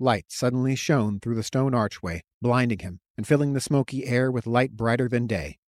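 With a quiet background, the reading comes in an unforced reading voice whose intonation is fairly even.

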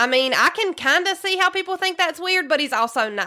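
In a Southern US accent, a woman uses a raised, projected voice with a bright, sharp tone and lively intonation at a moderate pace, in a very clean recording with a silent background. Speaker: podcast host. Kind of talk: true crime podcast narration, casual.

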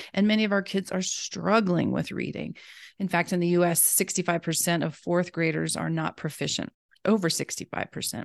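Using a normal speaking voice, a woman with an American accent talks at a fairly quick pace and fairly low pitch. Her intonation is fairly even, and the background is quiet. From US South. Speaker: reading education specialist. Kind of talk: interview.

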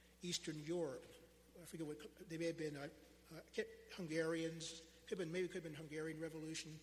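With an American accent and a fairly high pitch, a man talks at a very fast pace in a monotone, flat intonation, with audible room echo. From Pennsylvania, Philadelphia area. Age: 60s. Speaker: lay preacher. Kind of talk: sermon. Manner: halting.

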